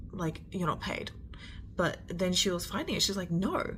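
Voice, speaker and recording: A woman with an Australian accent at a fairly slow pace, with audible room echo and noticeable background noise. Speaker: storyteller. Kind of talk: storytime. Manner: slurred words.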